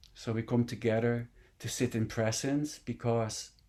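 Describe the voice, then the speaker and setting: A man at medium pitch and moderate pace, in a very clean recording with a silent background. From Netherlands. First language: Dutch. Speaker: meditation teacher. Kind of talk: dharma talk.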